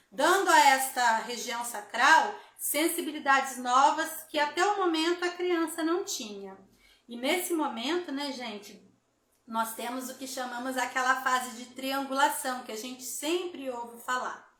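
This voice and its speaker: Audible room echo carries a woman's high-pitched voice, which has a bright, sharp tone and big swings in loudness. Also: ordinary pitch variation, fairly slow pace. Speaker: therapy instructor hosting live. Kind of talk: live stream talk. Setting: Instagram live.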